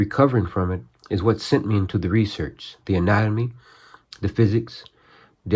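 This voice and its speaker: Fairly quick and somewhat breathy, a man speaks in a fairly low pitch with ordinary pitch variation on a very clean recording with a silent background. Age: 60s. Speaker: martial arts practitioner and channel host. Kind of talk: scripted narration; casual talk to camera. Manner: hesitant with fillers.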